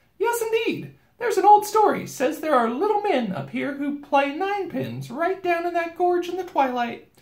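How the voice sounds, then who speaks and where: Someone in a put-on character voice talks at a moderate pace with hardly any pauses. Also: man, extremely high pitch for a man. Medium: read story. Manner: bossy, chatty, nonstop talker.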